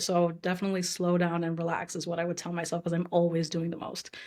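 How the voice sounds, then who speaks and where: A woman talks at a very fast pace in a fairly low pitch. Her delivery is monotone, with flat intonation. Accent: American. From New York. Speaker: UX designer, former actress. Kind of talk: podcast interview.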